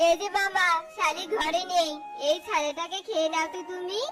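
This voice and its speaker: An extremely high-pitched cartoonish character voice speaks at a moderate pace over clear background music. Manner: stammering, fawning.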